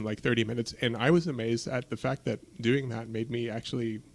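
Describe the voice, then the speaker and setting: Talking at a fairly quick pace, a man keeps a medium pitch and fairly even intonation. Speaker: programmer. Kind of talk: coding screencast. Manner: mumbling; hesitant.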